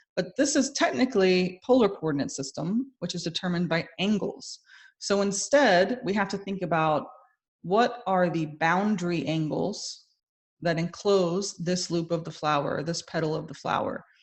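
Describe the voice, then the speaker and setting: A woman with a medium-pitched, somewhat breathy voice talks at a moderate pace with lively intonation. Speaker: math instructor. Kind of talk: lecture.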